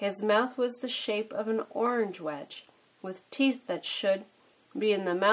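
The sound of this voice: Pitch moves in an ordinary way. The reading voice is unforced.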